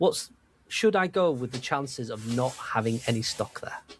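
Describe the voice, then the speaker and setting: Lively intonation in a Welsh accent, on a very clean recording with a silent background. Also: man. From Wales. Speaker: podcast co-host. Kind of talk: casual chat.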